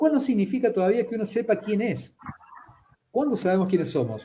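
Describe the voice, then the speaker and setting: A man is speaking here. His intonation is lively. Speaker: psychologist and anthropology student. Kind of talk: conversational interview on a live stream. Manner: hesitant, with many fillers and self-corrections.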